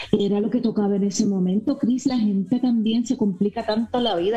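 Noticeable background noise accompanies a woman whose medium-pitched voice keeps a fairly even intonation. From Miami, raised by Cuban parents, career in Puerto Rico. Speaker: actress. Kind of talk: casual interview. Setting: video call.

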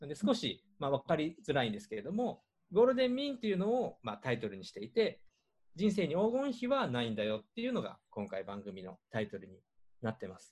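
The speaker talks at a very fast pace, with big jumps in loudness and very wide swings in pitch. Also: man, fairly high pitch for a man. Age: 50s. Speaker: podcast host and organizer. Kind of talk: casual chat.

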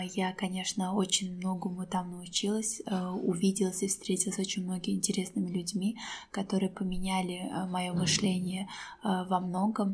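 Her voice is somewhat breathy and sits at a medium pitch, with monotone, flat intonation and very even loudness from this woman. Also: moderate pace. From Azerbaijan. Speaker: teacher and author. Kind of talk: casual interview conversation. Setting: public place.

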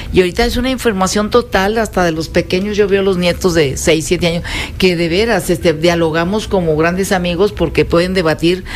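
A woman's fairly low voice, with fairly even intonation, sits against noticeable background noise. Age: 70s. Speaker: mother and grandmother guest. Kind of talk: casual chat. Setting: radio studio.

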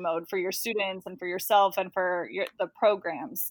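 A woman with a plain, everyday voice and an American accent speaks fairly quickly at a medium pitch with ordinary pitch variation, in a very clean recording with a silent background. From Texas, Dallas-Fort Worth area. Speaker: bilingual educator. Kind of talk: interview.

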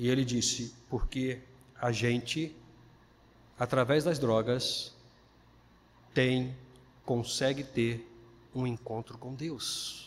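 At a very slow pace with long, frequent pauses, a man speaks in flat, monotone intonation at a medium pitch. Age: 50s. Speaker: pastor. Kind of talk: sermon.

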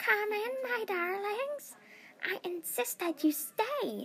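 A woman puts on a character voice, raspy and extremely high in pitch. She speaks very slowly. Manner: eerie, inviting, insistent.

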